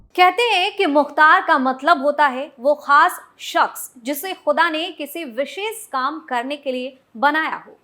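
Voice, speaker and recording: Raised and projected, a woman's high-pitched voice has a bright, sharp tone and ordinary pitch variation, with hardly any pauses. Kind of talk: TV news report narration.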